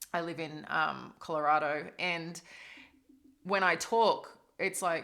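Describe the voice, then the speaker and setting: A woman with an Australian accent, bright and sharp in tone, at a fairly slow pace. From Australia, East Coast. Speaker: tarot reader. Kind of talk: tarot reading. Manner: casual, rambling with fillers.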